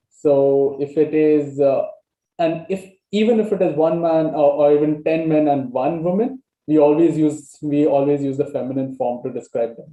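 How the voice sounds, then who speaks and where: Speaking with a Goan accent, a man with a fairly high pitch keeps a moderate pace and ordinary pitch variation. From Goa, India. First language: Konkani. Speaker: language exchange participant. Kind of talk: casual conversation. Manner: halting, many fillers.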